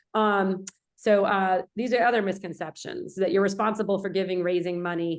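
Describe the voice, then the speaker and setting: A woman with a New Jersey accent speaks at a medium pitch, her intonation fairly even. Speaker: film producer and instructor. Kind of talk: lecture. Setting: video call. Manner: loud; fast.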